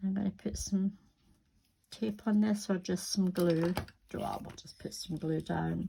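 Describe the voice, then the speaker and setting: Somewhat breathy and dark, mellow in tone, a woman at medium pitch speaks at a fairly slow pace with fairly even intonation, big swings in loudness, and long, frequent pauses. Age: 60s. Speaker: crafting youtuber. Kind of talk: crafting tutorial. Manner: casual, chatty.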